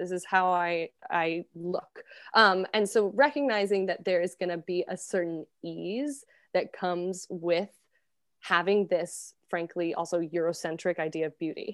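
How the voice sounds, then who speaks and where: With a General American accent and a plain, everyday voice, a woman speaks fairly slowly at a fairly low pitch with ordinary pitch variation, on a very clean recording with a silent background. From US, Colorado. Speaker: actress and fitness instructor. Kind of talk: casual interview chat.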